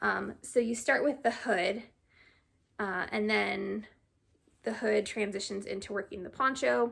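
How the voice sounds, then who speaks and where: With vocal fry and a fairly high pitch, a woman speaks fairly slowly, taking long, frequent pauses, her pitch varying in an ordinary way. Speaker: crafting vlogger. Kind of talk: casual chat. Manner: chatty, hesitant with fillers.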